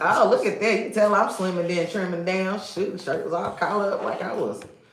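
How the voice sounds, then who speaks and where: A woman speaks very fast in an animated tone at a medium pitch. Noticeable background noise and audible room echo surround her. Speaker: live stream co-host. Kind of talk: casual chat. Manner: loud.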